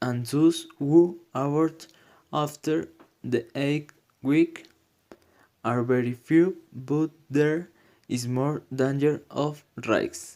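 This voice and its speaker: A man with a non-native accent, fairly high-pitched, at a very slow pace with long, frequent pauses and fairly even intonation. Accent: non-native, self-described bad pronunciation. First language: Spanish. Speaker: student presenter. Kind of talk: prepared presentation. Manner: halting, non-fluent.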